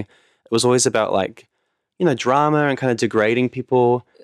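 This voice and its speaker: With a New Zealand accent, a man speaks in a dry, close sound with no echo. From New Zealand, Auckland North Shore. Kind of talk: casual chat.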